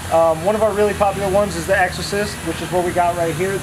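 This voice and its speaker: Noticeable background noise sits behind this recording. A man with a high pitch speaks in a monotone, flat intonation. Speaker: presenter. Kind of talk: casual vlog chat. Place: workshop.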